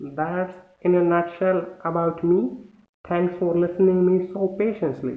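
An Indian accent at a fairly slow pace, fairly even in intonation, with audible room echo. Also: man, high pitch for a man. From India, New Delhi. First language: Hindi. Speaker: english learner. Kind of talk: casual chat. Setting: video call. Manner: halting. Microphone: video call.

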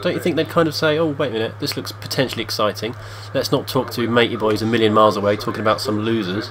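The speaker has an English accent and a serious tone, talking at a very fast pace. Pitch varies in an ordinary way, and background noise is noticeable. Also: man, medium pitch for a man. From England. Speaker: video game player and commentator. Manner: tongue-in-cheek, switching between mock-serious commentary and groans.

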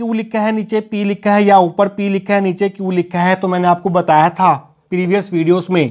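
Against a quiet background, a man speaks at a high pitch and a fairly slow pace. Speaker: physics teacher. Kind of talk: lecture. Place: classroom. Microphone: lapel.

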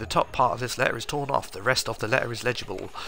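The speech comes at a very fast pace against noticeable background noise. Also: man. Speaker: video game streamer. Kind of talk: casual gaming commentary, let's play. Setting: recorded live stream, home. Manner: relaxed, chatty, thinking aloud.

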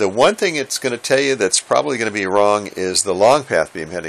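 The tone is fairly bright, and the pitch varies in an ordinary way. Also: man.

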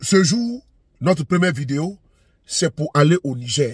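A man's somewhat breathy voice carries lively intonation in a dry sound with no echo. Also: quiet background. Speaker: online commentator. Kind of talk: militant commentary intro. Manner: earnest, rousing, declamatory. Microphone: phone near.

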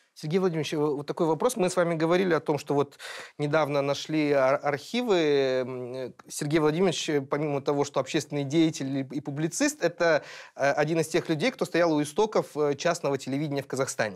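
In a normal speaking voice, a man with a fairly high pitch talks at a fairly quick pace with ordinary pitch variation and very even loudness over a quiet background. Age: 30s. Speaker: podcast co-host, editor-in-chief; podcast co-host. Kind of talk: panel discussion. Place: studio. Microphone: lapel.

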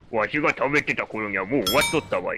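Using a put-on character voice, a man rattles along at a very fast pace with a fairly high pitch. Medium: game stream. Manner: old-man speech, sentence-final じゃ and わい.

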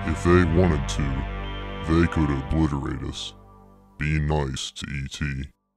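Over faint background music, a man does a put-on character voice, very deep and low, at a fairly slow pace. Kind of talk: poetry reading.

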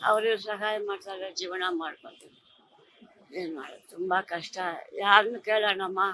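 A bright, sharp tone with fairly even intonation. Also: woman, big swings in loudness. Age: 80s+. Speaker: elderly pensioner. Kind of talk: street interview. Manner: halting.

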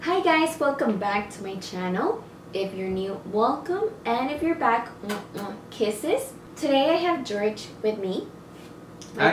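The speech moves at a fairly slow pace. Audible room echo and light background noise are present. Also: woman. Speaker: vlogger. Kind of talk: casual vlog chat. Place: home room. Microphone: camera far.

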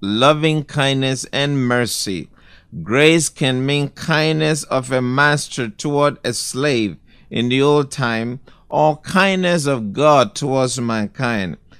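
Speaking very slowly, a man at a medium pitch shows ordinary pitch variation in a very clean recording with a silent background. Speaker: pastor. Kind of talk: sermon.

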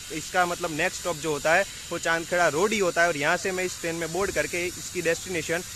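Against noticeable background noise, a man with a high-pitched voice speaks at a moderate pace in a dry sound with no echo. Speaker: travel vlogger. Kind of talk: casual vlog chat. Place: station. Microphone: phone near.

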